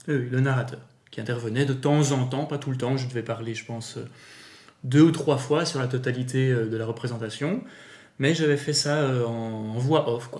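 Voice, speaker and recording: Amid audible room echo, a somewhat breathy man speaks at a moderate pace with fairly even intonation. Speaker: amateur voice actor and YouTuber. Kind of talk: casual interview.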